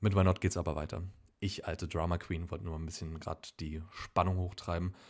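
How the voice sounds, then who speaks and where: A man with fairly even intonation on a very clean recording with a silent background. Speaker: film podcast host. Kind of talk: casual announcement to camera.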